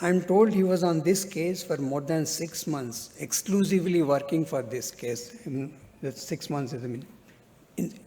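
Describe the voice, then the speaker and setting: Speaking at a moderate pace, a man has a dark, mellow tone, a fairly high pitch and ordinary pitch variation. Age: 60s. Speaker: lawyer speaking at a book event. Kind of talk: speech at a book launch. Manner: halting.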